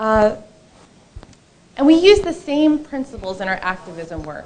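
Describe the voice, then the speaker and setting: Against noticeable background noise, a woman speaks at a moderate pace with very wide pitch swings. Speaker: attorney. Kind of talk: conference talk. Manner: loud. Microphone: too far from the mic.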